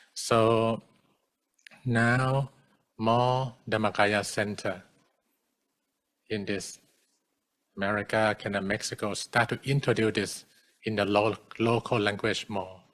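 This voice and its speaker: In a Thai accent, a man speaks at a very slow pace in a fairly low pitch, monotone and flat, with long, frequent pauses on a very clean recording with a silent background. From Thailand. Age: 40s. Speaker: Buddhist monk. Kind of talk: dharma talk. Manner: halting.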